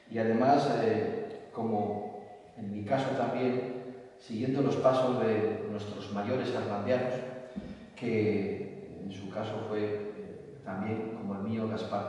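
Strong room echo surrounds a man whose fairly low voice keeps fairly even intonation. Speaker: presenter. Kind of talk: formal presentation speech. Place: hall.

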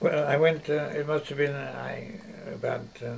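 There is noticeable background noise as a man speaks at a moderate pace with fairly even intonation. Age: 80s+. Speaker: mathematician. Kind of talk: interview answer. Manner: hesitant.

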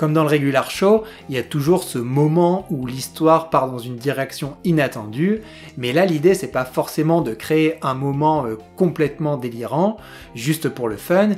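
A man at a fairly slow pace, with faint music in the background. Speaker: video reviewer. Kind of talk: commentary.

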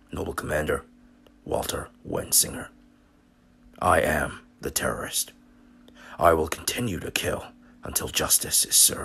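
A man in a raspy, put-on character voice, at a moderate pace with long, frequent pauses. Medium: machinima. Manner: menacing; cold, formal, military clipped.

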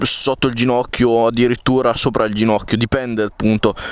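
A man's voice in a dry sound with no echo. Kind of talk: casual vlog chat. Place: garden. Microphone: camera far.

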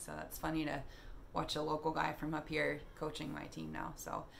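Over light background noise, a woman talks at a fairly quick pace in a very deep, low voice. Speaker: fitness vlogger. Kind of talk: casual vlog chat. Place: home room. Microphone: phone near.

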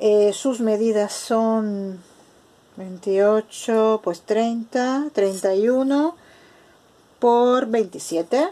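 A woman's fairly high-pitched voice at a very slow pace, with long, frequent pauses, ordinary pitch variation and very even loudness. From Spain. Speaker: craft video maker. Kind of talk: tutorial. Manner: casual. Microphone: phone near.

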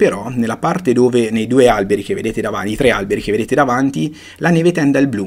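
At a very fast pace, a man talks with lively intonation. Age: 40s. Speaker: photography teacher. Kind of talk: online lecture. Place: home room.

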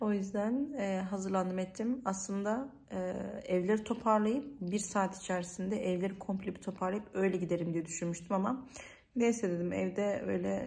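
Her voice is somewhat breathy, with ordinary pitch variation. The woman talks at a moderate pace. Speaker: vlogger. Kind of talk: casual vlog chat. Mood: worried, slightly stressed. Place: home room. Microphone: phone near.

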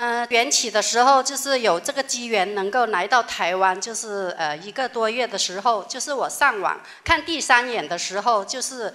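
Over a quiet background, a woman with a fairly high, bright and sharp voice talks at a moderate pace with lively intonation. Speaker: religious follower; audience member. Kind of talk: testimony. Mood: earnest, wondering. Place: hall.

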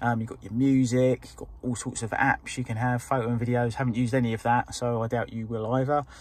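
Words come at a very fast pace with hardly any pauses in monotone, flat intonation. The sound is dry with no echo. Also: man. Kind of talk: casual vlog chat. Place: car. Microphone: phone near.

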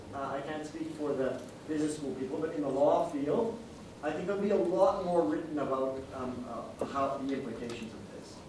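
A man speaks with a fairly high pitch. Audible room echo and noticeable background noise come through. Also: ordinary pitch variation. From Singapore. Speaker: law professor, paper discussant. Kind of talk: conference discussion. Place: meeting room.

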